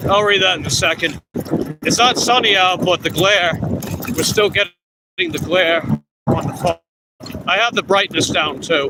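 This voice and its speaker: With a strong Long Island accent, a man speaks at a moderate pace in a high voice, his loudness very even and his pitch varying normally. He leaves long, frequent pauses. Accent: thick Long Island New York. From Long Island, New York. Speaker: food delivery bike courier streamer. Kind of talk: casual live stream chat.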